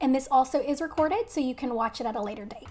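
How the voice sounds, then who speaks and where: A woman talks at a fairly quick pace in a Texan accent. Her high voice has ordinary pitch variation. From Texas. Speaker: nurse educator. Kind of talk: live webinar lecture. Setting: live stream. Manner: casual, friendly.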